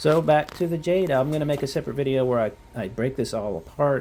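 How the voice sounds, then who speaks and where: Talking at a fairly quick pace, a man has a dark, mellow tone and lively intonation. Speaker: gardening vlogger. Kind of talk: casual garden tour. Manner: fast; hesitant, many fillers.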